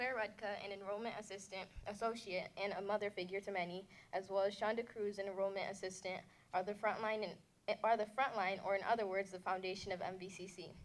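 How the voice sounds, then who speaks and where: A woman with an American accent talks at a very fast pace and a medium pitch. Her voice is shaky, with fairly even intonation. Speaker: community college student. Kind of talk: prepared speech to an audience. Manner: shaky voice.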